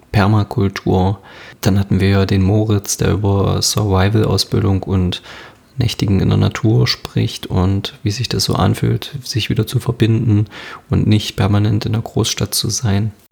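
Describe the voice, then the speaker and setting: A man's fairly low-pitched voice at a fairly slow pace, with very even loudness, fairly even intonation and noticeable background noise. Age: 20s. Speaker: podcast host and fitness trainer. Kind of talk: solo podcast monologue.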